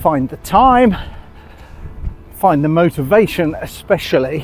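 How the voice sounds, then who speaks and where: With an English accent, a voice speaks fairly slowly with lively intonation as music plays in the background. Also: man. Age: 60s. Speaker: vlogger. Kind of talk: vlog narration. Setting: outdoors.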